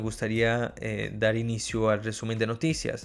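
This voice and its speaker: With music in the background, a man in a Portuguese accent speaks at a fairly slow pace. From Brazil. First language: Portuguese (speaking Spanish). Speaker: podcast host, journalist. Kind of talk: news reading; interview. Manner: hesitant with fillers.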